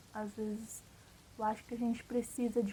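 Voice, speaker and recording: At a moderate pace, a woman's fairly high voice holds a monotone, flat intonation. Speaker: vlogger. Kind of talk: casual monologue vlog. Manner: casual, filler-heavy.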